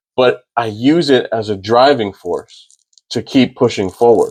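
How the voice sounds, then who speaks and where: With an American accent, a man speaks at a medium pitch and with ordinary pitch variation. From Maryland and Florida, US. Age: 30s. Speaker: firearms instructor. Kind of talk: podcast interview. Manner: halting, with repetitions.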